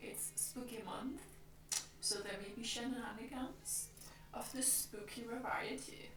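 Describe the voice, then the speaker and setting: Soft-spoken voice with a Danish accent, a fairly slow pace, and noticeable background noise. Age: 20s. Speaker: streamer. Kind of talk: casual chat. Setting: live stream. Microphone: mic output issues.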